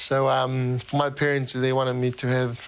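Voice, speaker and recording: A man speaks at a medium pitch. His delivery is monotone, with flat intonation. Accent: Tongan. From Tonga. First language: Tongan. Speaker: professional rugby player. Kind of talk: interview answer.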